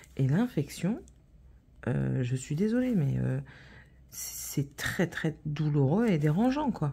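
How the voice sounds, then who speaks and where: The recording is very clean, with a silent background. A woman speaks at a very slow pace, with long, frequent pauses. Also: very even loudness. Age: 30s. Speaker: vlogger. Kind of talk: casual chat. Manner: hesitant, many fillers.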